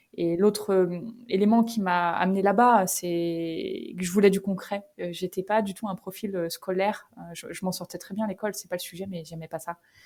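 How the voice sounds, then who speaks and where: The loudness rises and falls sharply, with hardly any pauses and a fairly even intonation. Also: woman, medium pitch for a woman, moderate pace. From northern France, Picardy (Creil). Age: 30s. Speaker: company founder. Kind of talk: podcast interview. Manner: casual, hesitant with many fillers.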